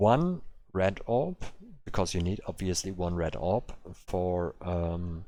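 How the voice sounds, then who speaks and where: Over a silent background in a very clean recording, a man speaks at a very slow pace in a very deep, low pitch, with a dark, mellow tone and ordinary pitch variation. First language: German. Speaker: game streamer. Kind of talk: live stream commentary. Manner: halting, many fillers.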